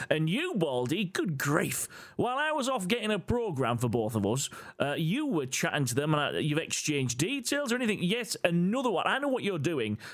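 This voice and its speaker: A man with an English accent speaks at a fairly quick pace. His voice is high-pitched and swings very widely in pitch. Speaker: podcast co-host. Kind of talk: casual chat. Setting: in a room together.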